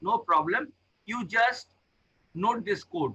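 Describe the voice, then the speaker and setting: A man uses a raised, projected voice with a bright, sharp tone. He speaks at a fairly slow pace with lively intonation. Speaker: professor. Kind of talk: tutorial.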